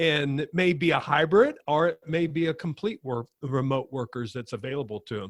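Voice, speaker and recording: With lively intonation at a moderate pace, this man has an unremarkable speaking voice of fairly high pitch, recorded with a dry, close sound and no echo. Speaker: podcast host. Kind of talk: podcast interview.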